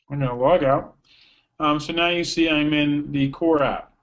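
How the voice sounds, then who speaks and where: This man's fairly high voice keeps a fairly even intonation. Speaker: software product demonstrator. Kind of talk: webinar software demo. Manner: fast.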